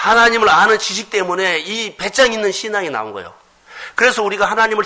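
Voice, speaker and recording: Over noticeable background noise, a man talks at a very fast pace in a raised, projected voice pitched high. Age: 50s. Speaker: pastor. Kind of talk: sermon.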